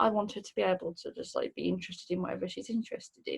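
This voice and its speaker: Someone with a strong Midlands accent speaks at a very fast pace. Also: woman. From English Midlands, near Birmingham. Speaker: mental health worker. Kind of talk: recorded questionnaire answers. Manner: hesitant, many fillers.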